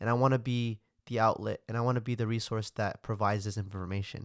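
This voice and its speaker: A man at a medium pitch and fairly quick pace, in a dry, close sound with no echo on a very clean recording with a silent background. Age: young. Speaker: podcast host. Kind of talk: casual solo monologue. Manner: frequent fillers.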